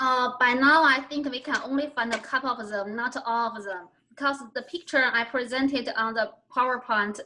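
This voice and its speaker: At a moderate pace, a woman speaks with a Chinese accent in a high voice with fairly even intonation. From China. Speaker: literature scholar. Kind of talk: Q&A after presentation. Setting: video call. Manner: halting.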